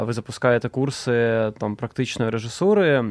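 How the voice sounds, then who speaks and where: A man with a normal speaking voice talks with ordinary pitch variation. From Donetsk, eastern Ukraine. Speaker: film director. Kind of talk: interview.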